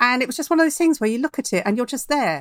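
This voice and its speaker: Recorded very cleanly against a silent background, a woman speaks in a southern English accent. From London. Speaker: novelist. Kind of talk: casual chat.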